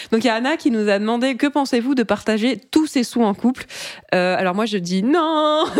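Using an ordinary speaking voice, a woman talks at a fairly quick pace in a fairly high pitch. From France, Brittany. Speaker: podcast co-host. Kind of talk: casual chat.

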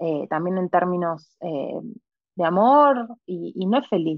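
A woman with an Argentine accent, fairly low in pitch, with ordinary pitch variation. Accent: Argentine Spanish (voseo). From Argentina, southern Patagonia. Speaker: tarot reader. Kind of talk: interview conversation. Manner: halting with many repetitions.

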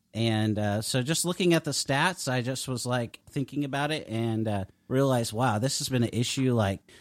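An ordinary speaking voice from a man at a fairly quick pace with ordinary pitch variation. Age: 40s. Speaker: author and ministry director. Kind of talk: interview.

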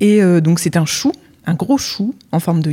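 Fairly low in pitch, a woman speaks in an ordinary speaking voice. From Normandy, France. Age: 30s. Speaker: web writer and Instagram coach. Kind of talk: casual interview chat. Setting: in person recording in Lille.

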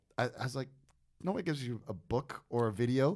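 On a very clean recording with a silent background, a man speaks with an American accent. His pitch is medium. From New Jersey, US East Coast. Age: 50s. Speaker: podcast host and wine auctioneer. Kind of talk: casual chat. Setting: studio.

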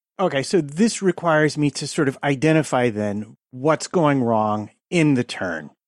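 A plain, everyday voice with lively intonation, recorded dry and close with no echo against a quiet background. The pace is fairly slow, with hardly any pauses. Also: man, fairly high pitch for a man. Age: 50s. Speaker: podcast co-host. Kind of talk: casual chat.

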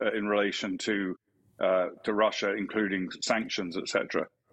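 A man speaks in an English accent at a fairly slow pace. The background is quiet. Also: dry, close sound with no echo. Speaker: retired army officer. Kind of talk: news interview.

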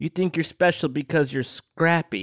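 Here a man does a put-on character voice at a fairly high pitch. The recording is very clean, with a silent background. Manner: menacing.

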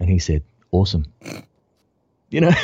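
Speaking with an Australian accent, a man moves at a fairly quick pace. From Melbourne, Australia. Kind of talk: casual interview.

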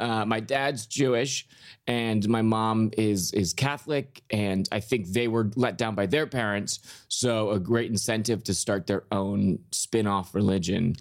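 In an ordinary speaking voice with an American accent, a man talks at a fairly slow pace and a fairly low pitch with ordinary pitch variation. His loudness stays very even, and the recording is very clean with a silent background. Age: 30s. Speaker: comedian. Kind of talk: casual chat.

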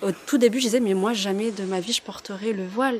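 Noticeable background noise sits behind a woman's voice. She talks at a fairly quick pace with a medium pitch. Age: 30s. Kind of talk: interview testimony.

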